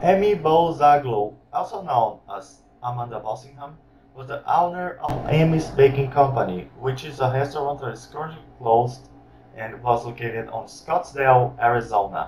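A man speaks at a moderate pace with ordinary pitch variation and big swings in loudness. Light background noise is present. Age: young. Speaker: YouTube commentator. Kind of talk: commentary reaction video. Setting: webcam microphone. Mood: critical, mocking. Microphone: webcam.

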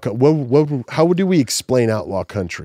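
A man with an American accent, dark and mellow in tone, at a moderate pace with very wide pitch swings, in a dry, echo-free recording over a quiet background. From South Texas. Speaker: podcast host. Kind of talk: casual chat. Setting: studio. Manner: animated. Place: studio. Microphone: studio mic.

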